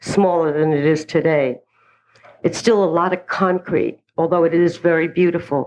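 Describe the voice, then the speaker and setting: A woman at a moderate pace with a New York accent. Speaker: recovery speaker. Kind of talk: personal testimony.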